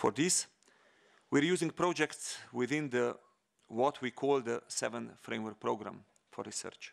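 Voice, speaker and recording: The setting is quiet. A man talks fairly slowly, his pitch varying in an ordinary way. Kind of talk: formal speech. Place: hall. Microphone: podium.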